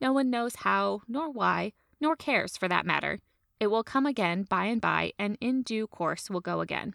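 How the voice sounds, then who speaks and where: The recording is very clean with a silent background as a woman speaks at a moderate pace. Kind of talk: reading aloud a 1900s literary essay. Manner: measured, formal, storytelling cadence.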